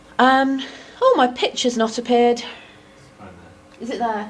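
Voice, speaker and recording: A woman speaks at a fairly high pitch, and audible room echo surrounds her voice. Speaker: academic researcher. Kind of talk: lecture. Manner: fast.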